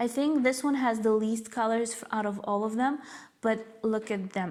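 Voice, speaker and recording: Against noticeable background noise, a woman speaks at a fairly slow pace and fairly high pitch with fairly even intonation. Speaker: cross-stitch YouTuber. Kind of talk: casual video chat, show and tell. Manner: hesitant with fillers.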